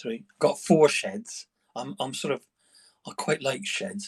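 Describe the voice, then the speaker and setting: A man in an English accent, with very wide pitch swings. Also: dry, close sound with no echo. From England. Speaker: livestreamer. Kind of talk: casual chat. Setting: outdoors in a greenhouse. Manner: hesitant, repeating words.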